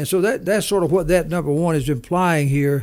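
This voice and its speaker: The background is silent in a very clean recording. Across it, the intonation holds fairly even. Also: man. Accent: Southern US. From US South. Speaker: business leader and author. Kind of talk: interview, business talk.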